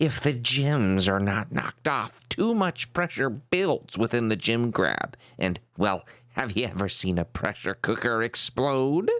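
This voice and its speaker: Using a put-on character voice, a man speaks at a fairly slow pace with a medium pitch. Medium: solo performance.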